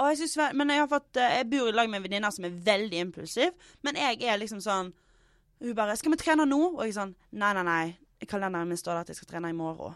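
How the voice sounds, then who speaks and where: Over a quiet background, a woman of medium pitch talks fairly quickly, with very wide pitch swings and big swings in loudness. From Western Norway, Stord/Fitjar. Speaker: comedian. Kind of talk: casual chat.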